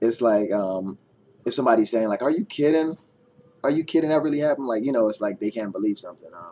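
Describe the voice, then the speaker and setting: Very fast and lively in intonation, a man's medium-pitched voice has a dark, mellow tone and big swings in loudness. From Guyana, Georgetown. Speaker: vlogger. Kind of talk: casual vlog monologue. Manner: hesitant, many fillers.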